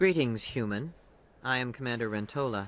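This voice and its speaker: This man puts on a character voice. His pitch is medium and his pace moderate. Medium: video game. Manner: stiff, formal.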